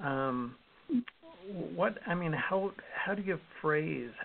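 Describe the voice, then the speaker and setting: Noticeable noise runs in the background as a man speaks in a fairly high pitch. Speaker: radio host. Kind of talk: casual interview.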